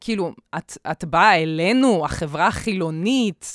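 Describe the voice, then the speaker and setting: Very clean and silent in the background, with a dry, close sound and no echo, the clip has a woman speaking at a fairly low pitch with ordinary pitch variation. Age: 20s. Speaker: podcast host. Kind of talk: casual chat. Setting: home studio. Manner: loud; animated.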